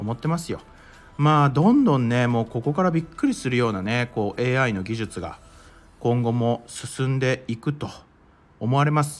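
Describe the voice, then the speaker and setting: A normal speaking voice with ordinary pitch variation, at a moderate pace. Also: man, medium pitch for a man. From Japan, Mie Prefecture. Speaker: crypto and NFT news podcaster. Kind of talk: solo news commentary podcast. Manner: casual, conversational with many fillers.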